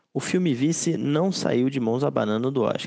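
Recorded with a dry, close sound and no echo, a man speaks in a dark, mellow tone. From Brazil, Rio de Janeiro. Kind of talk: casual chat.

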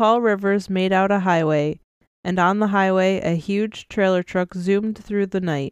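Against a quiet background, a natural reading voice holds fairly even intonation.

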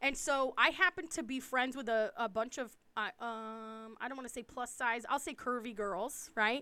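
A woman's high-pitched voice with a bright, sharp tone, ordinary pitch variation and hardly any pauses. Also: moderate pace. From US East Coast. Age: 40s. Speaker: podcast co-host. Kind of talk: casual chat.

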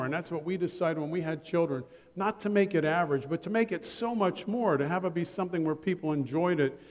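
Over noticeable background noise, a man in an American accent talks at a very fast pace in a high voice with ordinary pitch variation. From Ohio. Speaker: pastor. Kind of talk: sermon. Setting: church.

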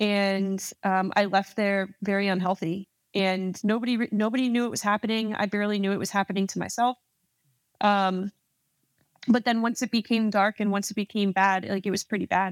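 With an American accent, a woman talks at a fairly quick pace and medium pitch in monotone, flat intonation. The recording is very clean with a silent background, dry and close with no echo. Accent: slight, mostly muted in podcast. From New Jersey, US. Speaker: Army officer, Ranger. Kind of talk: casual interview.

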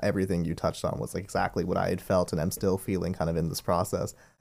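A man with a very deep, low pitch and vocal fry, talking at a very fast pace. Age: 20s. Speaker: retired gymnast. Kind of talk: podcast interview.

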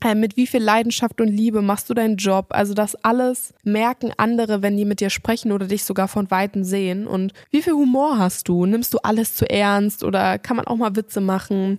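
A woman with a normal speaking voice talks at a moderate pace and medium pitch, her intonation fairly even. Her loudness stays very even, and the sound is dry and close with no echo. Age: 20s. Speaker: podcast host. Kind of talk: solo self-help podcast monologue. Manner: casual, conversational with fillers.

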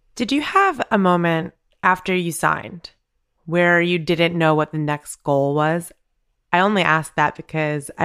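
Here is a plain, everyday voice at a moderate pace. The recording is very clean, with a silent background. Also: woman. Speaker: podcast co-host. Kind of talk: casual interview chat.

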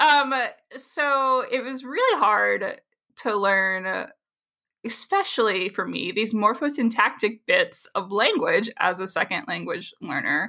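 The woman talks very slowly on a very clean recording where the background is silent. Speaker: linguistics researcher. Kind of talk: interview.

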